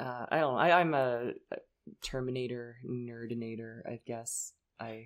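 A woman speaks at a fairly slow pace with a very deep, low pitch. Her loudness swings widely. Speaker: podcast host. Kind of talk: casual chat. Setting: studio. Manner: animated.

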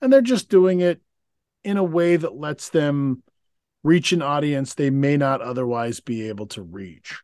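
A man with a normal speaking voice speaks at a fairly slow pace and fairly high pitch. The recording is very clean with a silent background, dry and close with no echo. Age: 40s. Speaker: podcast co-host. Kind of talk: casual chat.

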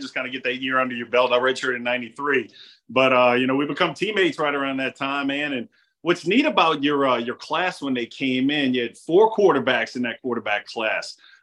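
At a fairly quick pace, a man speaks in a fairly high pitch with an unremarkable speaking voice. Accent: American. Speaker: podcast host. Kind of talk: casual interview.

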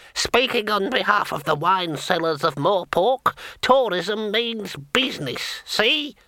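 In a put-on character voice, the speaker cackles at a fairly high pitch and a fairly slow pace. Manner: cackling.

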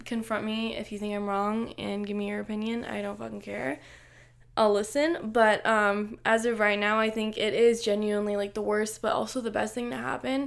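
A woman speaks at a moderate pace in a fairly high pitch, with ordinary pitch variation. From Los Angeles, California. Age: 20s. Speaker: podcaster. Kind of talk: casual monologue. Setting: bedroom. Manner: animated.

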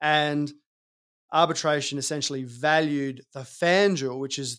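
An Australian-accented man with a fairly high pitch, at a moderate pace with fairly even intonation, on a very clean recording with a silent background. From South Australia. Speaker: fund manager. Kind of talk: interview.

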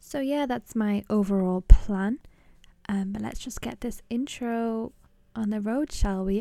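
Her tone dark and mellow, a woman speaks with a British accent. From England. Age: 20s. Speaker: podcast host. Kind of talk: casual solo podcast intro.

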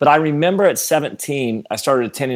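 In an ordinary speaking voice, a man talks at a fairly quick pace with ordinary pitch variation on a very clean recording with a silent background. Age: 40s. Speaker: pastor. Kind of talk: casual chat.

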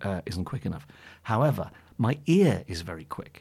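Somewhat breathy and fairly low in pitch, a man talks at a moderate pace on a very clean recording with a silent background. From northeast England then Suffolk. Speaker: jazz pianist and author. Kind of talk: casual interview chat.

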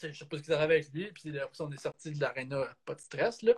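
A man with a Quebec accent speaks in a fairly high voice. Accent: Québécois French. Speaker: photographer and videographer, hockey coach and referee. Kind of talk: casual interview.

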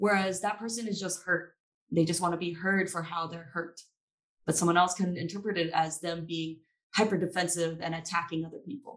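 A woman with an American accent talks at a fairly quick pace in a normal speaking voice, fairly low in pitch. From Maryland. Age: 20s. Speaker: young adult community member. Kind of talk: panel discussion.

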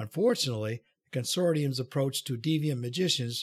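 A man talks fairly quickly, his voice somewhat breathy. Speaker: audiobook reader. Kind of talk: literary audiobook reading, narrated prose and dialogue with poetry. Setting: home recording, solo. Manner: measured, steady storyteller pace, softly voicing characters' dialogue.

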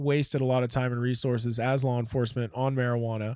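At a fairly quick pace, a man with a medium pitch and a dark, mellow tone speaks in a monotone, flat intonation. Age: 30s. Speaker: former police K9 officer. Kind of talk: casual interview storytelling.

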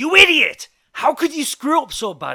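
This put-on character voice is shouting in a bright, sharp tone with very wide pitch swings. The pace is moderate. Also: man.

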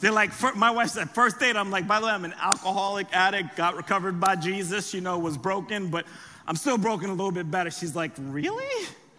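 Raising and projecting his voice, a man with an American accent talks very fast at a high pitch with ordinary pitch variation. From US, raised from age seven after birth in France. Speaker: pastor. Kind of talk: sermon. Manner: animated.

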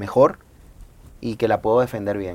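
A man speaks at a fairly low pitch. His intonation is fairly even. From Venezuela, Maracay. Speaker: salsa singer. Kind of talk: casual chat.

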